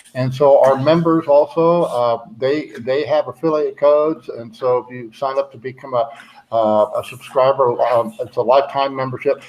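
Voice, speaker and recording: The man's pitch is fairly high and his intonation fairly even. He keeps a moderate pace over noticeable background noise. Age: 70s. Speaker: livestream host, bitcoin cruise organizer. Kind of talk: casual chat. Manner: halting, many fillers.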